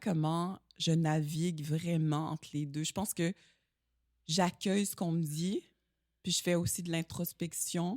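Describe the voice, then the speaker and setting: At a very slow pace, a woman with fairly low pitch and ordinary pitch variation speaks in a dry, close sound with no echo. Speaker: stunt performer and actress. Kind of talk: casual interview chat. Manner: slow, poised speech.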